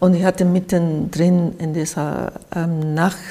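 In a Japanese accent, a woman with a fairly low voice speaks very slowly, her intonation fairly even. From Japan, by the sea. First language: Japanese (speaking German). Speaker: artist. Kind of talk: interview. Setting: artist's studio.

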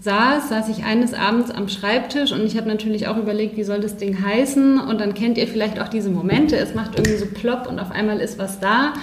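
Room echo is audible, and background noise is noticeable. Through it, a woman speaks with fairly even intonation. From Bavaria, Neuburg an der Donau. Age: 30s. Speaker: life coach. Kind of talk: podcast interview.

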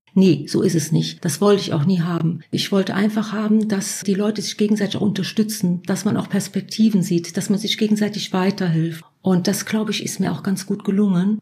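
A woman talks in a somewhat breathy, dark and mellow tone at medium pitch. Her intonation is fairly even, and her fairly quick pace has hardly any pauses. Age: 50s. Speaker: self-help group leader. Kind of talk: interview about personal experience.

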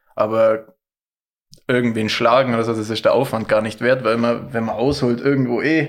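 At a moderate pace, a man with an ordinary speaking voice talks at a medium pitch with fairly even intonation. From Allgäu, Bad Hindelang area. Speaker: ski cross athlete. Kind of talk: casual chat.

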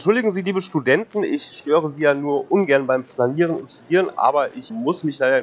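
A man speaks in a normal speaking voice at a moderate pace. His intonation is lively. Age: 30s. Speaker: game show contestant. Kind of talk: casual role-play game.

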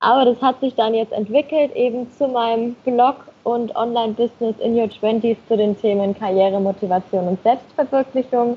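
In an unremarkable speaking voice, a woman talks at a moderate pace with hardly any pauses. Her pitch is fairly high and her intonation fairly even. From Germany, Nuremberg (Franconia). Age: 20s. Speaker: blogger and marketing manager. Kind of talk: podcast interview.

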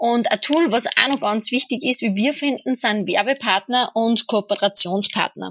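A woman speaks in a plain, everyday voice at a fairly high pitch, with ordinary pitch variation. She keeps a moderate pace with hardly any pauses, and the sound is dry and close with no echo. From Austria. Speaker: podcast co-host interviewing. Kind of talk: interview.

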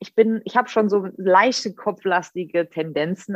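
A woman's normal speaking voice, medium in pitch, with ordinary pitch variation. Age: 30s. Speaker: psychology graduate and social media creator. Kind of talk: casual chat. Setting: video call.

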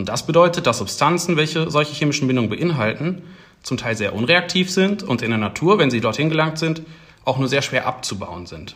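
With lively intonation and vocal fry, a man talks at a fairly quick pace in a fairly high pitch. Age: 20s. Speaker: PhD researcher in battery science. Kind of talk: casual interview.

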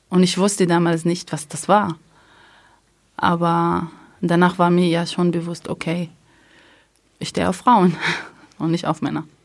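A woman with an Arabic accent speaks at a fairly slow pace and fairly low pitch. Her intonation is monotone and flat, with long, frequent pauses. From Palestine, near Haifa. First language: Arabic (speaking German). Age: 30s. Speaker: primary school childcare worker. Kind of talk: interview testimony.

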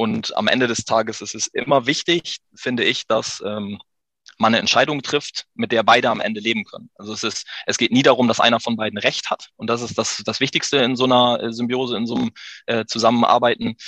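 A man at medium pitch, fairly quick pace and fairly even intonation, with a bright, sharp tone and a dry, close sound with no echo. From Emsland, northwest Germany. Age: 30s. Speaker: business owner. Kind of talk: interview.

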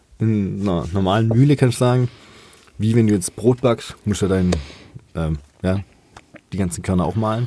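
Against noticeable background noise, a man with a fairly low pitch speaks at a moderate pace with ordinary pitch variation and long, frequent pauses. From southwest Germany, Rottweil area. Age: 20s. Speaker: master brewer. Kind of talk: casual chat. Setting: studio.

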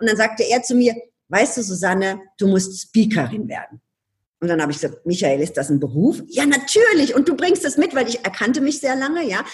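A woman speaks at a fairly quick pace with a fairly high voice and vocal fry. Her pitch swings very widely. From Ludwigshafen, Palatinate, Germany. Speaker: change consultant and speaker. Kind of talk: interview conversation. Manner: animated.

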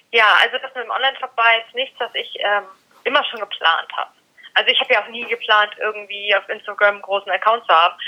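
The woman's delivery is very fast. Her pitch holds fairly even throughout. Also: fairly high pitch for a woman. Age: 20s. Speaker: dog blogger and influencer. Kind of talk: casual interview.

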